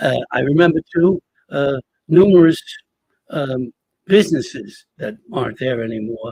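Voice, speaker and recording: A man's dark, mellow, somewhat breathy voice with an American accent, at a moderate pace, in a dry, close sound with no echo. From Hoboken, New Jersey. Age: 70s. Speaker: retired teacher and storyteller. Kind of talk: casual interview conversation. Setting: museum gallery, pre-recorded. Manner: animated, repetitive false starts.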